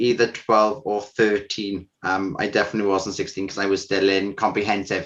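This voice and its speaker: A man speaks with a South Welsh accent at a moderate pace, his pitch fairly low. The background is quiet. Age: 20s. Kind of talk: interview testimony. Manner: hesitant, with fillers.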